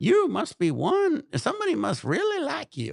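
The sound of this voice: A man's put-on character voice in a Southern accent, extremely high-pitched, at a moderate pace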